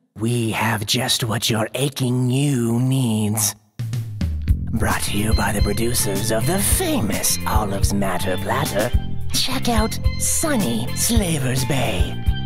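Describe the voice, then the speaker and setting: A man's put-on character voice, medium in pitch and fairly slow, with clear music in the background. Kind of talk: parody TV commercial read. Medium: audio drama. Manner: upbeat, salesy.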